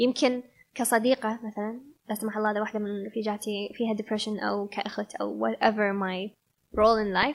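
In a Kuwaiti accent, a woman speaks at a fairly high pitch. Her intonation is monotone and flat. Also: fairly quick pace. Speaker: yoga instructor. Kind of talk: casual interview chat. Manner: code-switching between Arabic and English.

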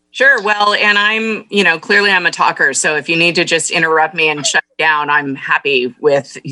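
A woman with an American accent has an unremarkable speaking voice and a fairly low pitch. Her delivery is at a moderate pace with lively intonation, very even loudness and hardly any pauses. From California, Monterey County. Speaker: business council executive and former city councilwoman. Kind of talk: radio interview.

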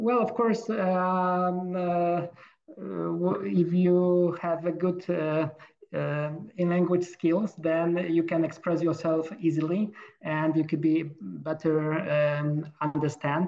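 With a Polish accent, a man of high pitch speaks at a very slow pace, with very even loudness and fairly even intonation, over noticeable background noise. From Poland. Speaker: medical doctor. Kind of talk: casual interview. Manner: halting.

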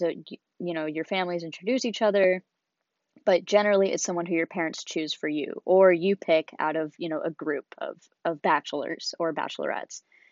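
A woman with a West Coast US accent speaks at a fairly low pitch. She moves at a fairly quick pace with ordinary pitch variation. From Seattle, Washington, US. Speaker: college student podcast host. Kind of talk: solo personal podcast monologue.

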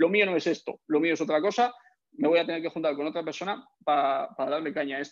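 A man has an unremarkable speaking voice with fairly high pitch. He talks at a fairly quick pace with ordinary pitch variation. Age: 20s. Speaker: fitness coach and entrepreneur. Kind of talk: casual chat.

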